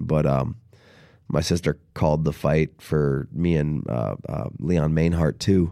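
A man speaks very slowly in a very deep, low voice, with fairly even intonation and a dark, mellow tone. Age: 30s. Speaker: mixed martial arts fighter. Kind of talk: casual chat. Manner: halting, with frequent repetitions.

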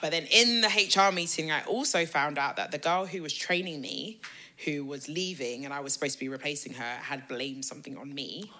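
A woman with a very deep, low pitch and a bright, sharp tone talks at a fairly quick pace, with big swings in loudness. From England, raised in Ghanaian family. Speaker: PR agency co-founder. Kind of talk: casual chat.

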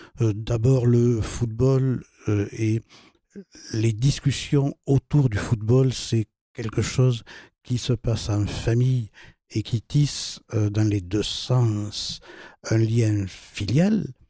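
Very slowly and with long, frequent pauses, a man speaks in a somewhat breathy voice with a dark, mellow tone and fairly even intonation, the sound dry and close with no echo. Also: medium pitch for a man. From southern France, Toulouse. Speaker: philosopher and author. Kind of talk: interview discussion. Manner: halting, many repetitions.

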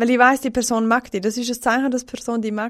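A woman is speaking. Her voice has a high pitch. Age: 20s. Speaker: guest, works in hospitality service. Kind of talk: casual chat.

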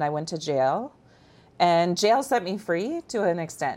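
A woman speaks with an American accent in an unremarkable speaking voice, her pitch fairly low and her pace fairly slow. The recording is very clean, with a silent background. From Iowa, small town. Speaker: human trafficking survivor. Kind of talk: testimony.

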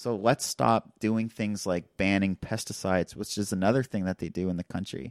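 At a moderate pace and fairly low pitch, a man uses an ordinary speaking voice with ordinary pitch variation, in a dry, close sound with no echo on a very clean recording with a silent background. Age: young. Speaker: doctoral candidate in social anthropology. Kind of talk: casual conversation.

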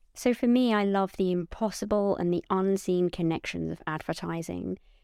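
At a moderate pace, a woman with a medium pitch and a dark, mellow tone speaks in a dry, close sound with no echo. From Portsmouth, southern England. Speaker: advertising creative executive. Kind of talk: interview conversation.

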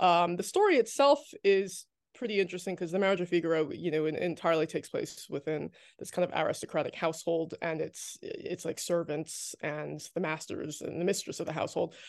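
In an unremarkable speaking voice, a woman with an American accent talks at a fairly quick pace in a fairly low pitch with ordinary pitch variation. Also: quiet background. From New Jersey, US. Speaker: author and activist. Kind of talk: casual interview chat.

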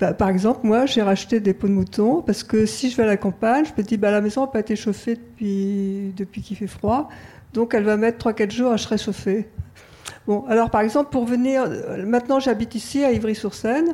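Fairly high in pitch, this woman's voice has a dark, mellow tone and is somewhat breathy. She speaks at a moderate pace with ordinary pitch variation. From rural France. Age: 70s. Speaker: audience member. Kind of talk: audience question. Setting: stage with audience.

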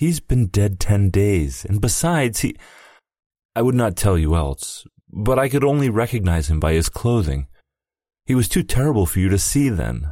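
A man puts on a character voice, shaky, with very wide pitch swings around a fairly low pitch. He goes at a moderate pace on a very clean recording with a silent background.

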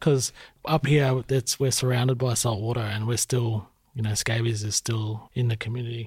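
In a very clean recording with a silent background, a man with an Australian accent speaks at a fairly quick pace and medium pitch, sounding somewhat breathy. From Shepparton, Victoria, Australia. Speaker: podcast host. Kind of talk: interview conversation. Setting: studio.

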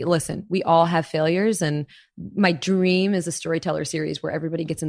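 At a very fast pace, a woman with an American accent talks at a fairly low pitch with fairly even intonation, in a very clean recording with a silent background. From Florida, US. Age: 30s. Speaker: chef and storyteller. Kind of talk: casual interview.

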